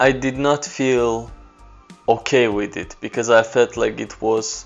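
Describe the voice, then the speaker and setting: A man with an Azerbaijani accent speaks at a medium pitch with fairly even intonation. Music plays in the background. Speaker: photographer. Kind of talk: personal story talk to camera.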